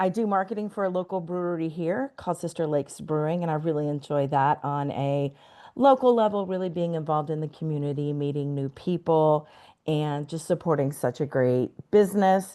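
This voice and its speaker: With a Texas accent, a woman speaks at a moderate pace in a dark, mellow tone, her pitch varying in an ordinary way against a quiet background. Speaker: outdoor adventure guide and marketer. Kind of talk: interview.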